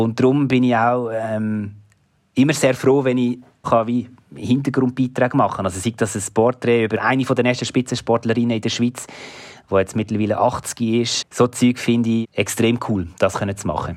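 A man's medium-pitched voice, an unremarkable speaking voice, at a moderate pace with fairly even intonation. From Switzerland, Basel region. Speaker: sports presenter and journalist. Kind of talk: interview.

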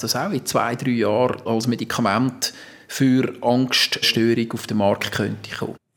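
A man with a plain, everyday voice at a medium pitch. His intonation stays fairly even. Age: 60s. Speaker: patient, civil servant. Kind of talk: interview. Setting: outdoors on a balcony.

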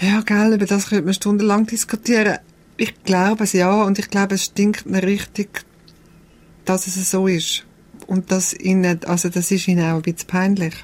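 A woman's medium pitched voice with a Swiss accent, monotone, flat intonation and very even loudness. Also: moderate pace. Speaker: documentary filmmaker. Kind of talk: conversational interview. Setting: radio studio.

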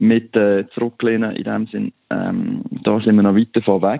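A man at a medium pitch, talking at a moderate pace. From Switzerland. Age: 30s. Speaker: coffee farmer and agricultural engineer. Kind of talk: interview. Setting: phone call. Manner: halting.

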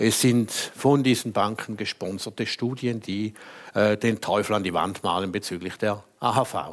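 An ordinary speaking voice talks at a fairly slow pace with ordinary pitch variation. The recording is very clean, with a silent background. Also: man. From Switzerland, St. Gallen. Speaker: lawyer and former politician. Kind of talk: panel debate. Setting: stage with audience.

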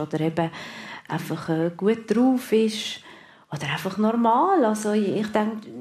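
Slightly mellow in tone, a woman talks at a fairly slow pace. Her pitch shifts in an ordinary way.

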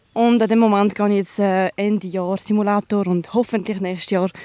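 At a moderate pace, a woman with a medium-pitched voice speaks in a flat monotone, the sound dry and close with no echo. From Switzerland, trilingual. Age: 20s. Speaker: soldier. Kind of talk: field interview. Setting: outdoors. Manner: hesitant.

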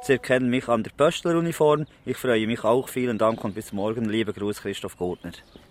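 Over noticeable background noise, a man speaks at a fairly quick pace with hardly any pauses. His pitch is medium, with ordinary variation. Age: 40s. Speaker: postman. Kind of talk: interview. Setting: outdoors in a park. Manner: halting.

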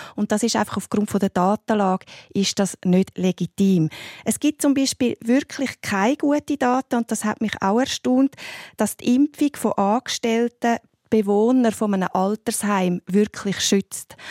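An unremarkable speaking voice, a woman talks at a fairly slow pace and fairly high pitch with ordinary pitch variation and very even loudness, recorded dry and close with no echo on a very clean track with a silent background. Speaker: family doctor and homeopath. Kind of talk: radio panel discussion.

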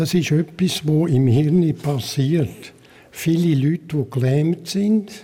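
A man speaks at a very slow pace in a dark, mellow tone. His pitch is fairly high, with ordinary variation. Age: 80s. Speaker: care home resident. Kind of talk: interview.

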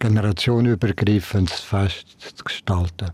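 Very slow and fairly low in pitch, a man's voice has a dark, mellow tone. His pitch variation is ordinary. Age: 80s+. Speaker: Jesuit priest and Zen master. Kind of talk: casual chat.

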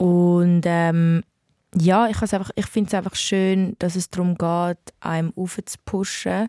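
A woman's fairly low, dark and mellow voice with a Zurich accent, very slow pace and monotone, flat intonation, in a dry, close sound with no echo. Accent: Zurich Swiss German. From Switzerland, Zurich. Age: 20s. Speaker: R&B singer. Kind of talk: interview. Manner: halting, many fillers.

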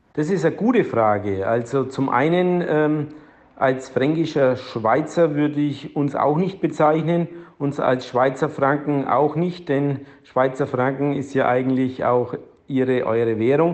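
A man with a fairly high pitch speaks at a fairly slow pace in an unremarkable speaking voice with ordinary pitch variation. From Franconia, Germany. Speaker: mayor. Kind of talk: interview.

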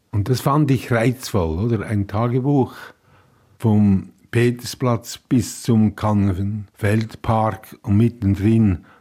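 In a very clean recording with a silent background, a man speaks very slowly at a medium pitch, with fairly even intonation and a dark, mellow tone. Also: very even loudness. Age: 80s+. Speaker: writer. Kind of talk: interview. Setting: kitchen at home.

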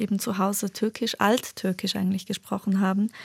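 A woman with a Turkish accent speaks at a moderate pace in a medium pitch, somewhat breathy. The sound is dry and close with no echo, on a very clean recording with a silent background. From Prizren, Kosovo; raised in Bern, Switzerland from age ten. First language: Turkish (speaking German). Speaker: novelist. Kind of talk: radio interview.

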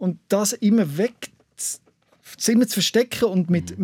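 Dry and close with no echo, a man's dark, mellow voice keeps a fairly even intonation. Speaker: radio host. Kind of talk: interview.

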